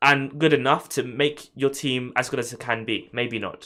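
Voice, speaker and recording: A man with a London accent speaks at a fairly high pitch in a bright, sharp tone, captured in a very clean recording with a silent background. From London, England. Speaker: F1 YouTuber. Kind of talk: live stream chat. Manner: stammering.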